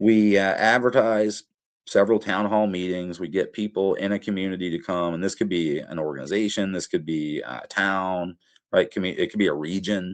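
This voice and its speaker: Against a quiet background, a man talks at a moderate pace. His pitch sits fairly low. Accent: Appalachian. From Appalachia. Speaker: professor. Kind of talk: interview. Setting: podcast. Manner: many filler words (uh).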